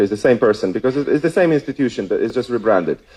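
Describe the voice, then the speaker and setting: Lively intonation marks this man's dark, mellow voice. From Poland. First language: Polish. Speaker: policy researcher and former youth worker. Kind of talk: conference talk. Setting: stage with audience. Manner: hesitant with many fillers.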